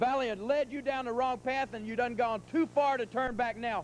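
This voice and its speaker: A man with an American accent speaks in an angry tone. His pitch is extremely high, with ordinary pitch variation. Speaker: professional wrestler. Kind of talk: wrestling promo. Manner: angry, taunting.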